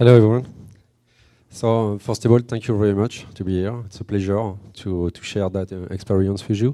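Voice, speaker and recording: A man with a French accent talks at a moderate pace and a fairly low pitch. His tone is dark and mellow, his intonation fairly even. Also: big swings in loudness. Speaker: company representative presenting at tech conference. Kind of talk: conference talk. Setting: stage with audience. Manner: hesitant, many fillers.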